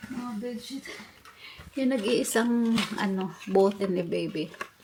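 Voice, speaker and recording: A woman speaks at a fairly slow pace with fairly even intonation. Noticeable background noise runs under her voice. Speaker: vlogger. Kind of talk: casual vlog chat. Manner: halting.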